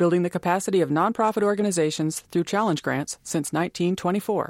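Heard in a very clean recording with a silent background and a dry, close sound with no echo, an ordinary speaking voice moves at a moderate pace with lively intonation. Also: woman. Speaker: announcer. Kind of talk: scripted funding credits.

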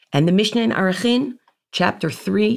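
This woman's pitch swings very widely, with vocal fry, on a very clean recording against a silent background. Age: 40s. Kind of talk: teaching from classical texts.

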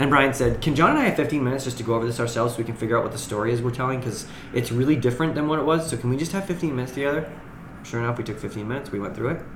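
Over noticeable background noise, a man with an American accent speaks at a very fast pace. His pitch is medium, with ordinary pitch variation. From far northern Maine, US. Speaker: actor and playwright. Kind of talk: casual chat. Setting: studio.

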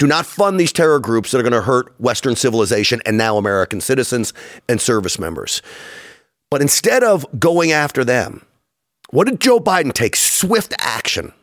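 Speaking at a moderate pace, a man with a medium pitch makes very wide pitch swings. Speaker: political show host. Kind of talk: casual political chat.

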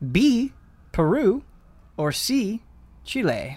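Speaking at a very slow pace, a man moves through very wide pitch swings. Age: 20s. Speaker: video game podcast host. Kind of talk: casual chat.

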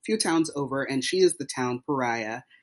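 A man with a plain, everyday voice speaks at a moderate pace, his fairly high pitch showing ordinary variation. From US South (Tennessee and Texas). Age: 30s. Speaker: playwright. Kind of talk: interview.

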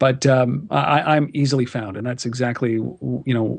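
A man's normal speaking voice, medium in pitch, with a Canadian accent and a fairly quick pace. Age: 40s. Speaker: entrepreneur, media founder. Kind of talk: interview.

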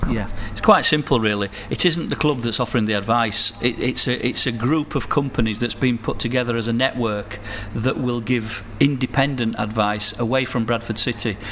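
A medium-pitched male voice at a moderate pace over noticeable background noise. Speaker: financial services businessman. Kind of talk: interview.

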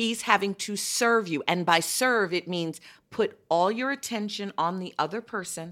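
On a very clean recording with a silent background, a woman with an American accent uses a normal speaking voice, medium pitch and ordinary pitch variation. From Chicago. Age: 50s. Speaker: podcast host.

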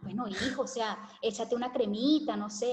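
A woman's fairly high voice, with fairly even intonation, comes through at a moderate speed against noticeable background noise. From Venezuela (Caracas, Valencia). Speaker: hair care content creator. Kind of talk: interview conversation.

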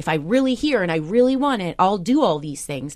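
Over a quiet background, a woman with an ordinary speaking voice and an American accent talks at a fairly quick pace with lively intonation. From US Midwest, Iowa. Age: 30s. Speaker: TV news correspondent. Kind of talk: interview.

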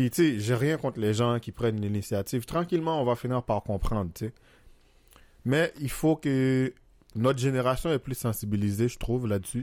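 This man has a plain, everyday voice at a medium pitch with ordinary pitch variation, recorded very cleanly against a silent background. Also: moderate pace. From Haiti. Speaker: podcast guest. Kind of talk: casual chat.

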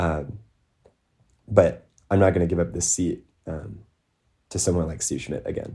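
A man with an American accent speaks at a moderate pace in a very deep, low voice with a dark, mellow tone. His delivery is somewhat breathy, with ordinary pitch variation and long, frequent pauses. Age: young. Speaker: student school board member and activist. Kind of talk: interview. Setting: remote recording.

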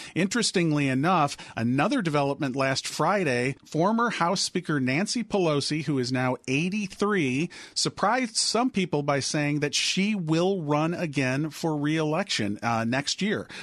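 An ordinary speaking voice from a man, fairly high in pitch, keeps very even loudness and a moderate pace with hardly any pauses and lively intonation. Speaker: political radio correspondent. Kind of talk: news interview.

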